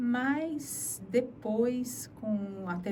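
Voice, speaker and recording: A woman is speaking. Audible echo fills the room. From Brazil, Sorocaba (São Paulo interior). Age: 60s. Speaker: journalist. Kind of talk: interview testimony.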